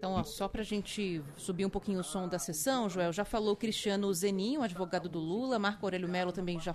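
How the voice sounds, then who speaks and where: A woman with an ordinary speaking voice talks at a fairly quick pace, her medium pitch showing ordinary variation. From Rio de Janeiro (Campo Grande). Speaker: radio news host. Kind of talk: radio news talk.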